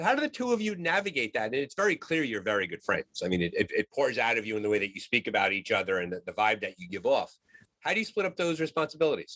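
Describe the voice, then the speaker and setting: A man with an American accent talks at a very fast pace. The recording is dry and close, with no echo. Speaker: podcast host. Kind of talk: podcast interview.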